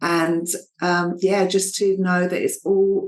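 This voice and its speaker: This woman speaks at medium pitch with an Essex accent. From Essex, England. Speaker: fertility coach. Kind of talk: interview.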